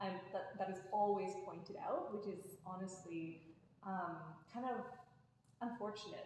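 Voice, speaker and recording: A woman at medium pitch with a Canadian accent, moderate pace and audible room echo. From Canada. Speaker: podcast guest. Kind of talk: casual chat.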